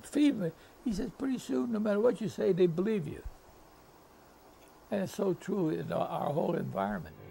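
A man talks at a fairly quick pace with a high pitch and lively intonation. He takes long, frequent pauses over light background noise. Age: 80s+. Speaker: retired football coach. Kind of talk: interview answer.

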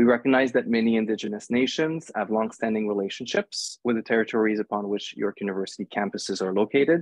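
The background stays quiet while a man talks very fast. There is no echo, so the sound is dry. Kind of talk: formal introduction. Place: home room. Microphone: earbuds.

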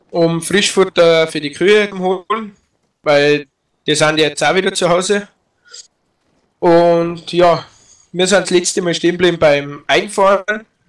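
A man with a Tyrolean accent talks at a fairly slow pace in a high pitch, his intonation fairly even and broken by long, frequent pauses. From Tyrol, Austria. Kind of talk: casual gaming commentary to viewers.

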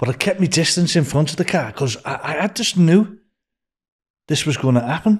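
A man speaks at a fairly slow pace with lively intonation and a slightly husky edge. The recording is very clean, with a silent background.

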